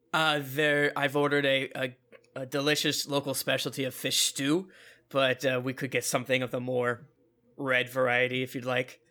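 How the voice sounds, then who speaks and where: In a raspy put-on character voice, a man speaks at a moderate pace and medium pitch with monotone, flat intonation on a very clean recording with a silent background. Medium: actual play. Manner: brisk, practical, friendly.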